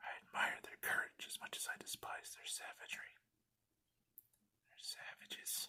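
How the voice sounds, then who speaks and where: Someone is whispering. Long, frequent pauses come throughout. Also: moderate pace. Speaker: ASMR creator. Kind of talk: ASMR card unboxing. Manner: whispered.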